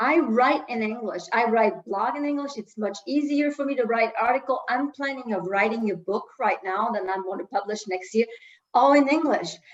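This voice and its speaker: There is noticeable background noise as a woman speaks with a French accent. Her pitch is fairly high. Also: ordinary pitch variation, moderate pace. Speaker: coach for women entrepreneurs. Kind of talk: interview.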